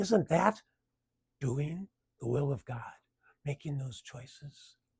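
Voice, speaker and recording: In a dry, close sound with no echo, a man talks at a very slow pace in a fairly high, somewhat breathy voice. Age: 70s. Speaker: video blogger sharing cancer story. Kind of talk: personal reflective monologue.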